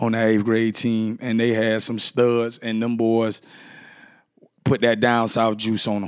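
The recording is very clean, and the background is silent. At a moderate pace, a man talks with a medium pitch. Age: 30s. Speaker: podcast host. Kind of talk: casual monologue. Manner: animated.

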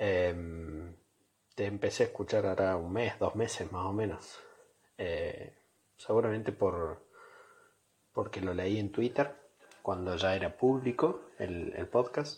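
A man with a fairly low pitch speaks at a very slow pace, with long, frequent pauses, a somewhat breathy voice and ordinary pitch variation. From Córdoba, Argentina. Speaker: listener sending voice message. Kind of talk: recorded voice message. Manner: halting.

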